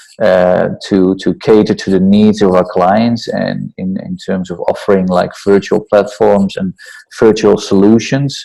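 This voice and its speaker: Here a man speaks with a Dutch accent. His pace is fairly slow. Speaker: entrepreneur and startup mentor. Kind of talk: interview.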